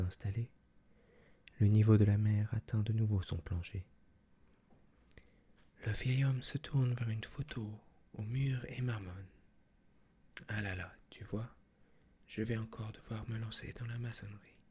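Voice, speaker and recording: A man whispers, soft-spoken and somewhat breathy, at a moderate pace. Long pauses come often. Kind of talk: reading a picture book aloud in French. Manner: soft-spoken, whispering.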